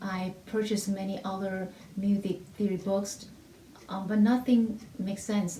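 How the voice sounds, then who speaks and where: Audible room echo colors this woman's voice. She talks with a non-native accent. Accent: heavy non-native. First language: not English (English is her third language). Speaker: music theory teacher. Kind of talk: testimony. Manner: halting, with repetitions and fillers.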